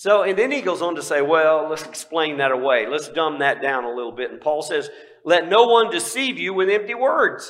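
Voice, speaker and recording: Audible room echo surrounds a man with a fairly high pitch. He speaks at a moderate pace with very wide pitch swings. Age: 60s. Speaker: pastor. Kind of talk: sermon.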